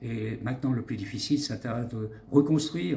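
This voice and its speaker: His dark, mellow voice sits at a medium pitch for a man, somewhat breathy, moving at a fairly slow pace with fairly even intonation. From Switzerland. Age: 60s. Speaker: doctor and politician. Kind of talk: interview. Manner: halting.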